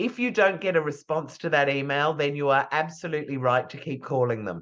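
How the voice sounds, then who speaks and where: Woman with an Australian accent, very deep and low in pitch, lively in intonation, at a fairly quick pace. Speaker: PR trainer. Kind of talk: lecture.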